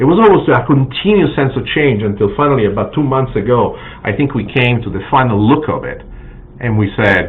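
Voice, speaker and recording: A man with a Sicilian accent speaks at a moderate pace and medium pitch, with lively intonation and long, frequent pauses. Audible room echo and noticeable background noise are present. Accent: Italian (Sicilian) accent in English. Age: 60s. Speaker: cookbook author and TV chef. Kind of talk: live stream announcement. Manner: halting, many fillers.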